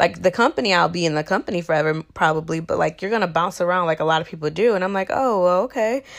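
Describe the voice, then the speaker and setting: This woman talks at a very fast pace with a medium pitch and ordinary pitch variation. The recording is very clean, with a silent background. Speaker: podcast host. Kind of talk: personal monologue. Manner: casual, laughs often.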